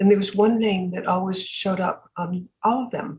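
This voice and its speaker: This woman's voice sits at a medium pitch and sounds somewhat breathy. She talks at a moderate pace. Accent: American. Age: 80s+. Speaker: philanthropist. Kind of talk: interview.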